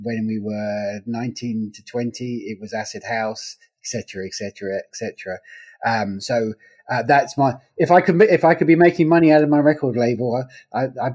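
A man with an English accent speaks at a moderate pace and medium pitch, his intonation lively and his loudness swinging widely. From England. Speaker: legal news publisher. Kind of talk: interview. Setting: remote call.

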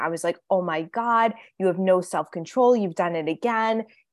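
A woman's unremarkable speaking voice, medium in pitch with lively intonation, at a moderate pace, in a very clean recording with a silent background and a dry, close sound with no echo. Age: 30s. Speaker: eating and fitness coach, author. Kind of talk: interview conversation.

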